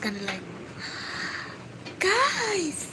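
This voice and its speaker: A quiet woman's voice moves at a very slow pace against noticeable background noise. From Philippines, Cebu. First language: Filipino language (Cebuano/Tagalog). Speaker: livestreamer. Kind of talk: casual chat. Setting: livestream.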